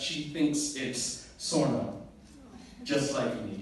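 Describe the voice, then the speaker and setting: A man's voice over noticeable background noise. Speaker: spoken word poet. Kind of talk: spoken word poetry performance.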